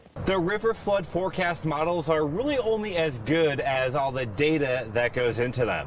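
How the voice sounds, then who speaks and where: Delivered at a moderate pace with lively intonation, the speech sits over noticeable background noise. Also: man. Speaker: meteorologist. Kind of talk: live TV weather report. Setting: outdoors.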